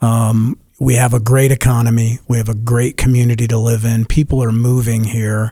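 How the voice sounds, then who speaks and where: In a dark, mellow tone that is somewhat breathy, a man speaks at medium pitch with monotone, flat intonation and very even loudness. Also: moderate pace, hardly any pauses. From Denver, Colorado. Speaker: real estate agent. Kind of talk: radio interview. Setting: radio studio.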